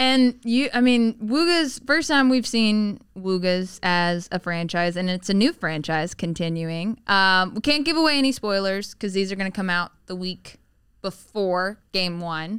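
A woman with a plain, everyday voice speaks in an American accent with lively intonation. Her pace is fairly slow, with hardly any pauses. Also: medium pitch for a woman. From US South, Tennessee. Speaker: interviewer. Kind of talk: casual chat. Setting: studio.

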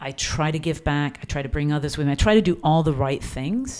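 In an American accent, a woman speaks with a very deep, low pitch and a dark, mellow tone. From England, then Florida from age eleven. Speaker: advertising agency CEO. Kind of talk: interview.

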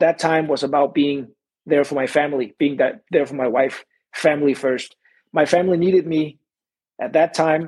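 This man speaks with a Danish accent at a fairly high pitch. His pace is moderate and his intonation fairly even. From Denmark. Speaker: MMA fighter and Olympic wrestler. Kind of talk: casual interview.

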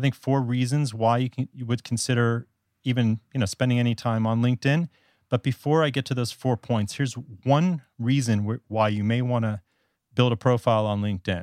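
Talking at a fairly quick pace, a man with an American accent has an ordinary speaking voice. The sound is dry and close with no echo, in a very clean recording with a silent background. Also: medium pitch for a man. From US South, South Florida. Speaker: podcast guest, communications professional and writing blogger. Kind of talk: casual interview.

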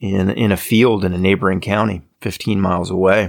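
A man's plain, everyday voice with an American accent, fairly even intonation and a moderate pace, in a very clean recording with a silent background. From Maryland, Hagerstown. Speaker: musician and podcaster. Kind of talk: casual chat.

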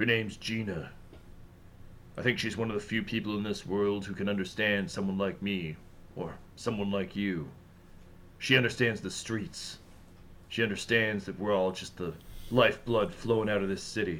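A man in a put-on character voice talks at a fairly low pitch and a moderate pace, with long, frequent pauses and clear background noise. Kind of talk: comic noir overacting. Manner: brooding, melancholy, oddly chatty.

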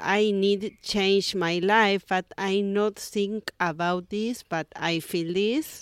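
A woman with an Argentine accent speaks at a medium pitch and very slow pace, the recording very clean with a silent background and a dry, close sound with no echo. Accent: Argentine Spanish (Rioplatense). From Argentina, Buenos Aires. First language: Spanish. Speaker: yoga teacher. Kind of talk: casual interview. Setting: beachside yoga studio. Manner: halting, hesitant non-native English.

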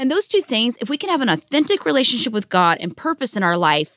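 A woman speaks at a high pitch with a bright, sharp tone. Her fairly quick delivery sounds dry and close, with no echo. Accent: American. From Washington State, US (small town outside Seattle). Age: 40s. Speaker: pastor and former missionary. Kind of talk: casual interview chat.

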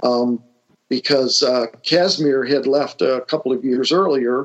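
With a Northern Ohio accent, a man talks in a fairly high voice with ordinary pitch variation. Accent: Midwestern American (Northern Ohio). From Lorain, Ohio. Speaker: retired IT executive, local history enthusiast. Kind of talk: interview conversation. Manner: halting, many fillers.

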